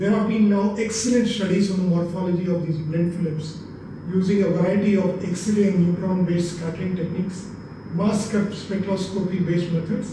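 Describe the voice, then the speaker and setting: Strong room echo and noticeable background noise surround a man's high-pitched voice. He keeps a moderate pace and a fairly even intonation. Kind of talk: research explanation. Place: office.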